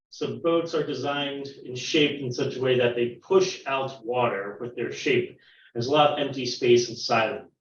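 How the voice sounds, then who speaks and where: A man with a fairly high pitch sounds somewhat breathy. He keeps a moderate pace with ordinary pitch variation. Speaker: science teacher. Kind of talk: online science lesson for children.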